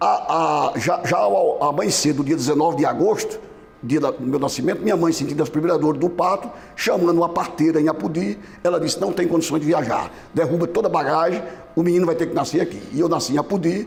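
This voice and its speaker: Very fast speech from a man at a high pitch, with ordinary pitch variation, very even loudness and audible room echo. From Brazil, Mossoró, Rio Grande do Norte. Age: 70s. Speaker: former business association president. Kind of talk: TV interview. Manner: halting, many fillers and restarts.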